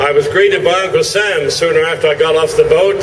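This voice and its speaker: A man with an English accent speaks amid audible room echo and noticeable background noise. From England (London area, Romford Essex). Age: 80s+. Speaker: retired veteran and former broadcaster. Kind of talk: rally speech.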